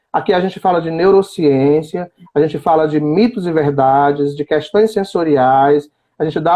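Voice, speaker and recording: This man has a plain, everyday voice pitched fairly high. He talks at a fairly slow pace with ordinary pitch variation. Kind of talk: live-stream interview. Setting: online live stream.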